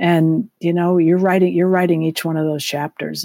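A woman with an American accent, fairly low in pitch, with a dark, mellow tone and a dry, close sound with no echo. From Massachusetts, US. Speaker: business executive and former pro tennis player. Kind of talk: interview. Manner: halting, with frequent repetitions.

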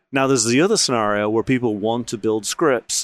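An ordinary speaking voice from a man, medium in pitch with ordinary pitch variation, at a fairly quick pace on a very clean recording with a silent background. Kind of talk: casual conference chat. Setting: live at conference.

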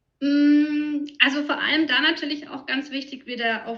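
In a slight Franconian accent, a woman uses a raised, projected voice with a bright, sharp tone and high pitch, speaking at a fairly slow pace. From Franconia, Germany. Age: 30s. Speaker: nutrition consultant. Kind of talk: interview.

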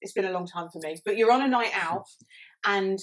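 A woman talks at a fairly quick pace in an unremarkable speaking voice. Her pitch is medium, her intonation fairly even. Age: 30s. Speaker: mental health podcast co-host. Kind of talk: casual chat.

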